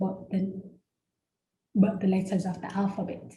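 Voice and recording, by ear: Audible room echo surrounds a woman's dark, mellow voice.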